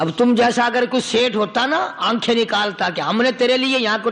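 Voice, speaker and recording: Noticeable background noise sits behind a man's raised, projected voice. His pitch is extremely high. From Pakistan. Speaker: Islamic preacher. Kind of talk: religious sermon.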